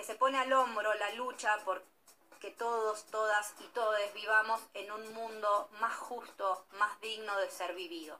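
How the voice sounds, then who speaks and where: Speaking at a fairly slow pace and a fairly high pitch, a woman has an ordinary speaking voice. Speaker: news segment presenter. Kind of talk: news reading.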